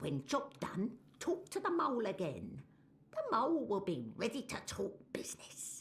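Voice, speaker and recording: At a moderate pace, a put-on character voice speaks in a fairly high pitch. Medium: video game. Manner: broken grammar, refers to herself as the mole.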